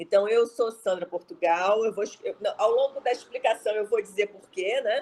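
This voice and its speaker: A woman's fairly high voice at a moderate pace, with ordinary pitch variation, big swings in loudness and hardly any pauses. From Rio de Janeiro, Brazil. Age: 60s. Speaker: speaker on entrepreneurship. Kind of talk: talk.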